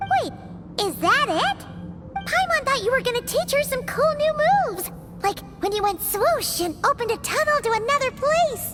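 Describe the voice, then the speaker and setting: This is a put-on character voice. Clear music plays in the background. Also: female-sounding voice, extremely high pitch for a woman, moderate pace. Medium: fan dub. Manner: chirpy, talks about herself in the third person.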